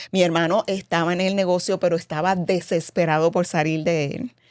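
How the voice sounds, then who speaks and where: A woman speaks with a normal speaking voice at a fairly low pitch. Her pace is moderate. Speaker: cosmetics company president, former actress. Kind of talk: interview.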